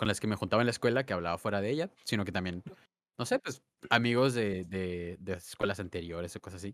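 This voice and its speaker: A man at a very fast pace with fairly low pitch and ordinary pitch variation, in a dry, close sound with no echo. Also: very clean recording, silent background. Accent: Mexican. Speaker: podcast co-host. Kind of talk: casual chat.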